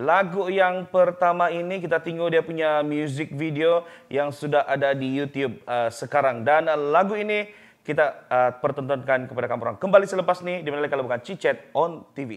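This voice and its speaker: A man with a plain, everyday voice, fairly high-pitched, with ordinary pitch variation, a fairly quick pace and hardly any pauses, against a quiet background. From Sabah, Malaysia. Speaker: talk show host. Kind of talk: casual interview. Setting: studio. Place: studio.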